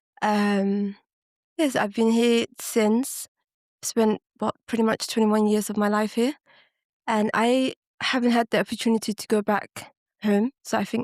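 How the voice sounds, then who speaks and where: A woman with a fairly high pitch speaks in a monotone, flat intonation, leaving long, frequent pauses, in a dry, close sound with no echo. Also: fairly slow pace. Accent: London. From West London, arrived at nine from Ethiopia. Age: 30s. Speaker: podcast guest. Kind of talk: casual chat.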